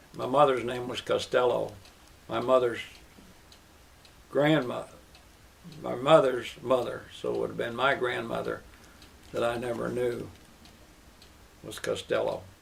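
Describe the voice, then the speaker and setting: Moderate pace from a man with an American accent, long, frequent pauses and big swings in loudness, plus noticeable background noise. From US Midwest, Kansas City, Missouri. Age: 80s+. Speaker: interviewee sharing life stories. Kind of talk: oral history interview.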